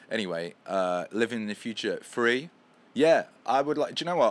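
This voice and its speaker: A man with a London accent talks at a fairly quick pace, his pitch swinging very widely, on a very clean recording with a silent background. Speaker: musician and livestream host. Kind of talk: casual livestream chat. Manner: animated.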